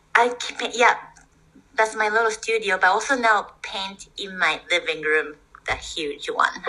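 Fairly high-pitched speech from a woman with a Japanese accent, bright and sharp in tone, at a fairly slow pace, with ordinary pitch variation and big swings in loudness. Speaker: osteopath and artist. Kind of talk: casual chat. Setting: video call.

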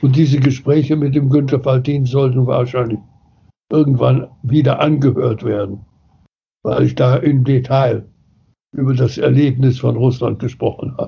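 Somewhat breathy and monotone, with flat intonation, the voice moves at a moderate pace with long, frequent pauses. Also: man, medium pitch for a man. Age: 80s+. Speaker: philosopher and founder of the New Work movement. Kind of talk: interview.

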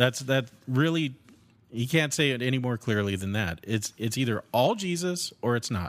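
This man has an unremarkable speaking voice at medium pitch with lively intonation. He keeps a moderate pace on a very clean recording with a silent background. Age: 40s. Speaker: podcast co-host. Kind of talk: casual chat about theology.

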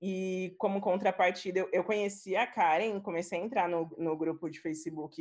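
A woman speaks in an unremarkable speaking voice. Her pitch is medium and her intonation fairly even. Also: quiet background. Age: 20s. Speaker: UX writer. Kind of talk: casual chat.

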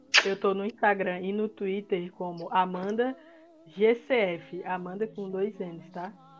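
Over noticeable background noise, a woman talks at a very slow pace with a medium pitch and fairly even intonation. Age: 20s. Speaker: podcast co-host, design student. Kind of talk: casual chat.

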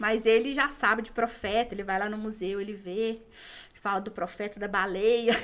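A woman's normal speaking voice, fairly high in pitch, at a moderate pace with fairly even intonation. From Minas Gerais, Brazil. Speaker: journalist and museum communications coordinator. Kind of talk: casual interview. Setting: podcast studio, live.

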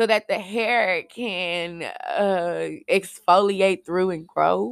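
Loud and animated, a woman speaks in a bright, sharp tone with ordinary pitch variation, the sound dry and close with no echo. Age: 20s. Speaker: podcast host. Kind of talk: casual monologue.

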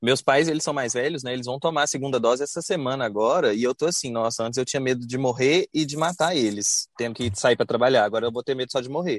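A man talks at a very fast pace with hardly any pauses, at a medium pitch and with ordinary pitch variation. The recording is very clean with a silent background. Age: 20s. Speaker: architect. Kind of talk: casual chat.

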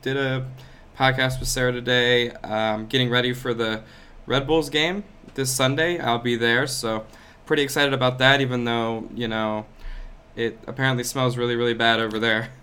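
At a moderate pace broken by long, frequent pauses, a man at medium pitch speaks with fairly even intonation. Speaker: fan social media account runner. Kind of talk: casual chat.

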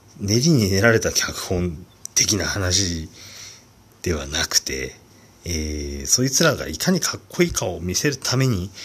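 This man's voice is very deep and low, with very wide pitch swings. He speaks at a fairly slow pace and sounds somewhat breathy. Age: 40s. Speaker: solo podcaster. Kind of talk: casual monologue. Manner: hesitant, many fillers.

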